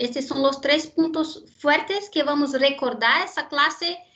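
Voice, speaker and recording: The speaker has a Brazilian accent and ordinary pitch variation. The pace is fairly slow. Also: woman. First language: Portuguese (speaking Spanish). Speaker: university lecturer in genetics. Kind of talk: lecture. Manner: hesitant, with fillers and repetitions.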